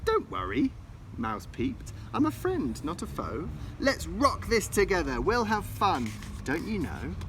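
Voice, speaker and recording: A man puts on a squeaky character voice and speaks at a moderate pace over clear background noise. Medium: read story. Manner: timid, polite.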